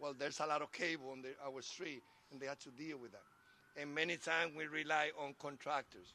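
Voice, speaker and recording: A man speaks with a Spanish accent at a fairly quick pace, his fairly high voice bright and sharp with fairly even intonation. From Dominican Republic. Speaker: transportation commissioner. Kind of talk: public speech.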